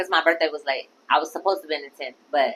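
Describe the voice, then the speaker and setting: A woman speaks at a very fast pace with a very deep, low pitch. Her tone is animated. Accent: American. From Orlando, Florida (Pine Hills). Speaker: comedian. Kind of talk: casual interview.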